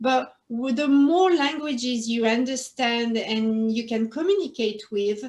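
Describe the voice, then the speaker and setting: A French accent, ordinary pitch variation and a fairly slow pace. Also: woman, high pitch for a woman, hardly any pauses. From northern France. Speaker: interview guest, former quality manager. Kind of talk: interview.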